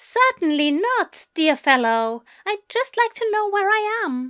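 A woman puts on a character voice, pitched extremely high and swinging very widely in pitch at a fairly slow pace. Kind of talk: polite, formal.

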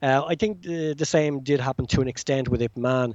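With an Irish accent, a man talks at a moderate pace and medium pitch, his pitch varying in an ordinary way, recorded with a dry, close sound and no echo. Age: 40s. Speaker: self-published novelist and martial arts film fan. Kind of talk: casual interview. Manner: halting, many fillers and repetitions.

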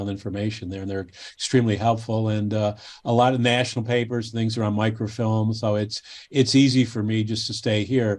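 Against a quiet background, a man with an American accent speaks fairly quickly in a fairly low pitch with monotone, flat intonation. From Cleveland, Ohio, US. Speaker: baseball history author. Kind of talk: casual interview chat. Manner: halting, frequent repetitions.

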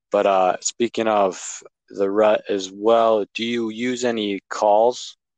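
A man with an Upper Midwest accent, fairly low pitch and monotone, flat intonation, in a dry, close sound with no echo and a quiet background. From Wisconsin. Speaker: podcast host, hunter. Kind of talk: casual interview. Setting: podcast.

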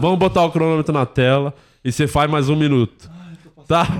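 A man talks at a moderate pace with a fairly high pitch. He has an ordinary speaking voice. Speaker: comedy podcast host. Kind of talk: casual chat. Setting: studio.

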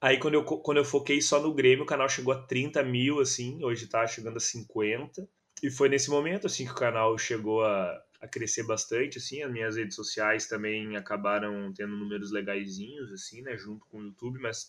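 With a Gaúcho Brazilian accent, a man talks at a moderate pace and medium pitch, with ordinary pitch variation, big swings in loudness and hardly any pauses. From southern Brazil, Gravataí. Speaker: football fan YouTuber and journalist. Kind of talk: casual chat.

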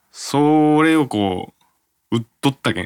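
The intonation rises and falls in a lively way. The male speaker's pitch is fairly high. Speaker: radio host. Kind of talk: casual chat.

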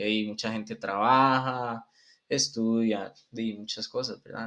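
Over a quiet background, a bright, sharp tone moves at a very slow pace with monotone, flat intonation. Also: man. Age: 20s. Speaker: physiotherapy student. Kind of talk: interview.

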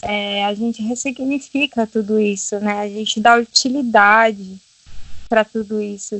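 Here is a woman with a fairly high pitch, in an ordinary speaking voice. She talks at a fairly slow pace. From Brazil, Minas Gerais. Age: 20s. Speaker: holistic therapist. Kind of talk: casual interview.

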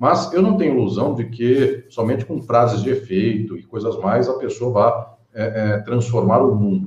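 A man speaks at a fairly slow pace with lively intonation and a medium pitch. His is a plain, everyday voice. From Brazil, interior of São Paulo state (Catanduva). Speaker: law professor and lawyer. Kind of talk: interview on a live-streamed podcast. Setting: live video stream.

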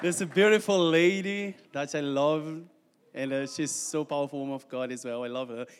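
A man speaks with a fairly high pitch and ordinary pitch variation. He keeps a fairly quick pace. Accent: Portuguese. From Brazil. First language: Portuguese. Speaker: missionary. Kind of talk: testimony. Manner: halting.

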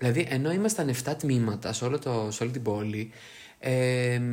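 This man has a plain, everyday voice at medium pitch. He speaks at a moderate pace with lively intonation. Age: 20s. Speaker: podcast co-host. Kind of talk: casual chat.

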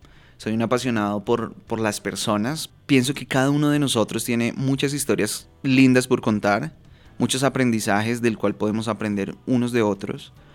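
With music in the background, a man speaks at a medium pitch and a moderate pace, keeping his intonation fairly even. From Bogotá, Colombia. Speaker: podcast host, personal development coach. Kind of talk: solo podcast monologue.

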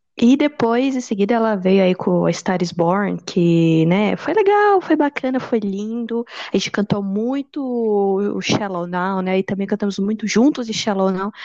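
There is noticeable background noise as a woman talks at a fairly slow pace with hardly any pauses. Her voice sits at a medium pitch with ordinary variation. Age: 20s. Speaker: history student, podcast co-host. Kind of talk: casual chat.

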